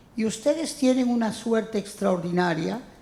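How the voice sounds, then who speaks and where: A woman speaks at a fairly slow pace with a fairly high pitch. Her pitch varies in an ordinary way, and background noise is noticeable. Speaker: francophonie ambassador, writer and critic. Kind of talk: introductory speech.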